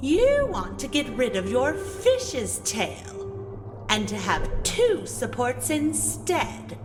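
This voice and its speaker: A put-on character voice moves at a very slow pace. Loud music plays in the background. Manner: slow, menacing.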